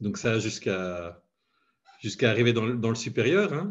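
Moderate pace against a quiet background. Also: man. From Belgium. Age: 40s. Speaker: head of IT. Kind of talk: interview. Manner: hesitant, many fillers.

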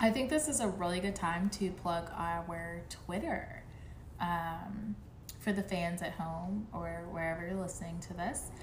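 A woman with a normal speaking voice, fairly low in pitch, at a fairly slow pace with ordinary pitch variation. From South Florida (Miami), born in Jamaica. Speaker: podcast co-host. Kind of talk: casual chat.

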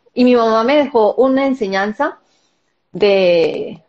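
This woman talks with lively intonation. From Colombia. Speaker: wellness summit organizer. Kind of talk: live-stream interview.

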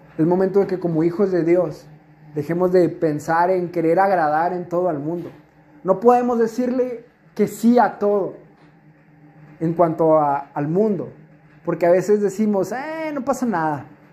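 A man speaks fairly slowly in a high pitch, with long, frequent pauses. The room echo is audible. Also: ordinary pitch variation. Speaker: youth preacher. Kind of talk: sermon. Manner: halting, many fillers.

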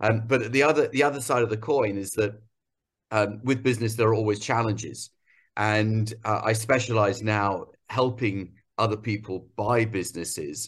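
With fairly even intonation, a man speaks at a moderate pace and medium pitch, sounding somewhat breathy. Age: 50s. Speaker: entrepreneur. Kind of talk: interview. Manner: halting.

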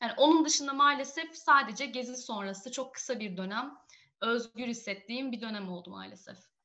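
A woman's high, bright, sharp voice at a moderate pace, with ordinary pitch variation and big swings in loudness. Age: 20s. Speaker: feminist activist and graduate student. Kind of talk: interview.

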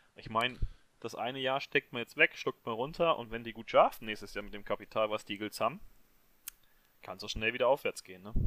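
A man talks at a very fast pace, but with long, frequent pauses and big swings in loudness. The sound is dry and close, with no echo. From Hesse, near Marburg. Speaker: football fan, social media account runner. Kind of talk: casual chat.

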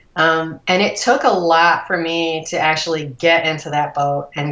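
Noticeable background noise surrounds a woman with an American accent. Her pitch is very deep and low, with fairly even intonation at a moderate pace. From US Midwest, Cleveland suburbs, Ohio. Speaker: breast cancer survivor and rower. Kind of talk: interview. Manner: halting with many fillers.

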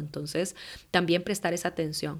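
A woman with a fairly low pitch speaks in a flat, monotone way. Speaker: life coach and meditation teacher. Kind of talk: solo podcast monologue.

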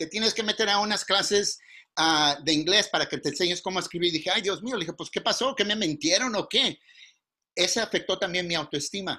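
A man's high-pitched, raised and projected voice, bright and sharp in tone, with ordinary pitch variation at a fairly quick pace. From California, Mountain View (Mexican family). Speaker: workshop instructor, business consultant. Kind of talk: online workshop lecture. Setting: video call.

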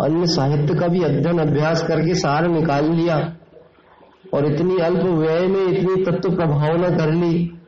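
A man's high, monotone voice with flat intonation and very even loudness, with audible room echo and noticeable background noise. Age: 30s. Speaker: religious teacher. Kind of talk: sermon.

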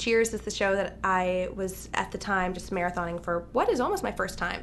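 With music playing in the background, the speaker talks at a moderate pace in an American accent. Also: woman. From Los Angeles, US. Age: 20s. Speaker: singer-songwriter. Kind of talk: casual chat. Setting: motel room.

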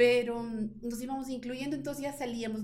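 With audible room echo, a woman talks at a moderate pace in a fairly high, dark, mellow voice that carries vocal fry. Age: 50s. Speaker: insurance broker and business owner. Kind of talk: interview.

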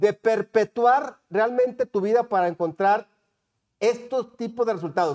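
The voice has an animated tone and a dry, close sound with no echo. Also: man. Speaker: podcast host. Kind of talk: casual interview.

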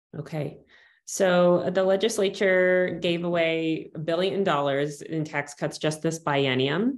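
Over a quiet background, a woman talks at a fairly slow pace with a normal speaking voice. Her pitch is fairly low, with ordinary variation. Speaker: policy researcher. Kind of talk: interview.

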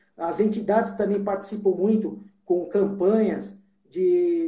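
A man talks at a very slow pace in a high voice. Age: 40s. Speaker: judge. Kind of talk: interview.

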